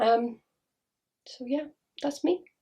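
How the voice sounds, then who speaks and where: A woman with a Welsh accent. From Wales. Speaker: spiritual healer. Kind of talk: casual monologue to camera. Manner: fast.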